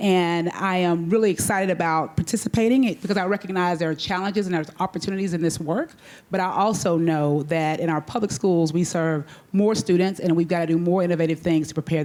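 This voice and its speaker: Speaking very fast with a Texas accent, this woman has a dark, mellow tone, a fairly low pitch and ordinary pitch variation. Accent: Texas twang. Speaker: school superintendent. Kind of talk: panel discussion.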